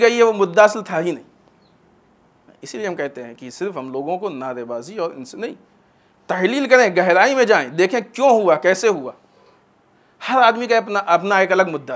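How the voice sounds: Lively intonation marks this man's high-pitched voice. He keeps a moderate pace.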